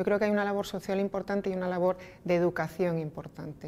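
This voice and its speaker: Her intonation monotone and flat, a woman speaks at a fairly low pitch. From Spain, Asturias (Oviedo); Asturias, Spain. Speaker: energy company executive. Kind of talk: interview. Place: meeting room.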